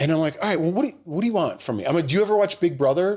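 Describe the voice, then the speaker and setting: The voice is loud. Its intonation is lively. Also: man. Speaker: podcast co-host, TV host. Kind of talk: casual chat.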